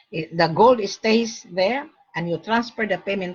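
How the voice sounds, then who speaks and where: Her voice somewhat breathy, a woman speaks at medium pitch and a fairly slow pace. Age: 60s. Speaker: gold broker. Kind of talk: sales pitch. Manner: animated.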